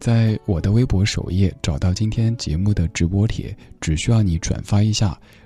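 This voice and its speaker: A man's dark, mellow, somewhat breathy voice sits at a fairly low pitch, with ordinary pitch variation and a moderate pace. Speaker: late-night radio host. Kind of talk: live late-night radio talk. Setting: radio studio. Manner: steady.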